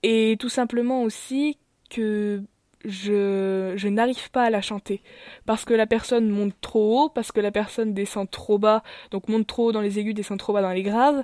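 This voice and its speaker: A woman's fairly high, dark, mellow voice at a fairly slow pace, in a very clean recording with a silent background and a dry, close sound with no echo. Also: fairly even intonation. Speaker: YouTuber. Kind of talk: channel presentation vlog. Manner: hesitant, many fillers.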